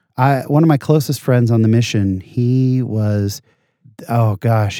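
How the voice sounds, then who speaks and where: With an American accent, a man speaks in a dark, mellow tone with ordinary pitch variation. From San Jose, California. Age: 40s. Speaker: podcast host and stand-up comedian. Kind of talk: casual interview, telling stories.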